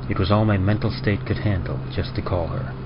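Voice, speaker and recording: There is noticeable background noise behind this man. He speaks at a fairly quick pace. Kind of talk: first-person story narration of a tragic love story.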